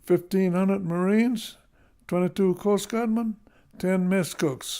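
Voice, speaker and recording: Here a man speaks in a high pitch with a dark, mellow tone. The recording is very clean, and the background is silent. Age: 90s. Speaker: war veteran. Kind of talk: speech reading a prepared memoir. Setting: speaking at an organization's event.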